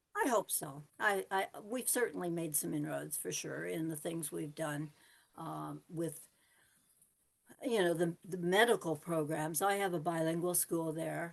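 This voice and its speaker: Vocal fry runs through the voice, which shows ordinary pitch variation. The pace is fairly slow. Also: woman, fairly low pitch for a woman. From Canada. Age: 80s+. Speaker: retired humanitarian worker. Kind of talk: interview answer.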